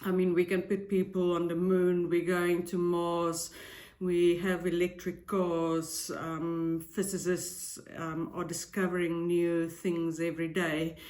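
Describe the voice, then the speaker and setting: A woman's fairly low, monotone, flat voice with a non-native accent, at a very slow pace, with audible room echo. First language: not English. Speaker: tarot reader and psychic YouTuber. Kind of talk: casual vlog intro. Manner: hesitant, frequent filler ums.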